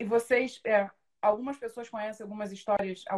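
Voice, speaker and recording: Her pitch fairly high, this woman has a plain, everyday voice and keeps a moderate pace. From Rio de Janeiro state, Brazil (São Gonçalo). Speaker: coach supporting trainees. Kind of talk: casual interview on a live podcast.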